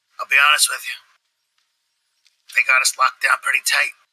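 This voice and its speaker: A man puts on a character voice. It is raspy and moves at a fairly quick pace. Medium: actual play. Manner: terse, blunt.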